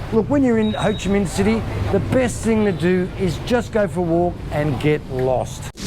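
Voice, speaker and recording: The speaker has an Australian accent. Noticeable background noise runs under the voice. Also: moderate pace. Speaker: travel vlogger. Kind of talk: travel vlog narration.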